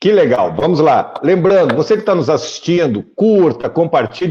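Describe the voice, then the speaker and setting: A man talks at a moderate pace. He has a strong gaúcho accent. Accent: thick gaúcho. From southern Brazil, Porto Alegre. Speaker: journalist, interview show host. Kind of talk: political interview show.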